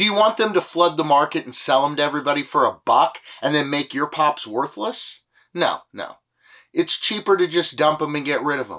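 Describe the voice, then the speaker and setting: The speaker has a bright, sharp tone with vocal fry and lively intonation at a moderate pace. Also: man. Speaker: toy collector YouTuber. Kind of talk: casual vlog talk.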